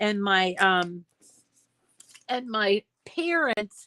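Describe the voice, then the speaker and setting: A woman with an American accent speaks at a fairly high pitch in a bright, sharp tone, with a dry, close sound and no echo. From Boston area, Massachusetts. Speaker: crafting channel host. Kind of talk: casual chat. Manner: casual with many fillers.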